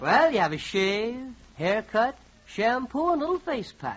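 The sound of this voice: A man's put-on character voice, extremely high in pitch and fairly bright in tone, with big pitch swings. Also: fairly slow pace.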